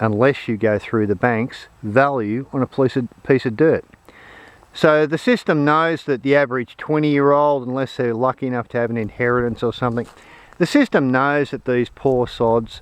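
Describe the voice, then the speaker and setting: A man speaks at a medium pitch. He has an Australian accent. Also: ordinary pitch variation, moderate pace. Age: 60s. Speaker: off-grid homesteader. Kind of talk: casual talk to camera. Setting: outdoors.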